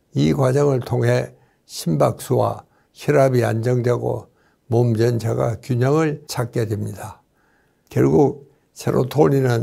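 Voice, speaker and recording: This man's dark, mellow voice sits at a medium pitch and moves at a very slow pace. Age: 90s. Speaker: doctor. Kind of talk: lecture.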